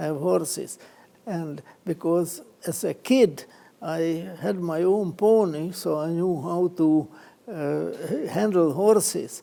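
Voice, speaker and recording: A high-pitched man with a non-native accent and a dark, mellow tone. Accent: foreign. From Czechoslovakia/Hungary border, Danube region. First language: Hungarian. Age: 90s. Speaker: Holocaust survivor, columnist. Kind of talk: testimony. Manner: halting, many fillers.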